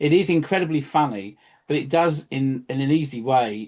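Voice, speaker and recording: A man with a London accent, ordinary pitch variation and a quiet background. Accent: English (southern, London area). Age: 60s. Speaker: local history presenter. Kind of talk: casual chat. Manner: halting.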